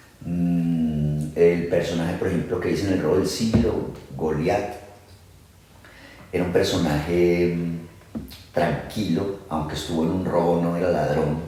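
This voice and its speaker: A man's very deep, low voice, fairly slow with long, frequent pauses and fairly even intonation, with audible room echo and noticeable background noise. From Antioquia, Colombia. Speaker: actor. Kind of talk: interview conversation. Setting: at home, casual recording.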